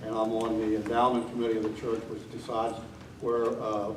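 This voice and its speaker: Someone with an American accent speaks at a moderate pace amid noticeable background noise and audible room echo. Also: man. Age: 70s. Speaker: election candidate, retired teacher, war veteran. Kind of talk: candidate forum speech. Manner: frequent filler 'uh' hesitations.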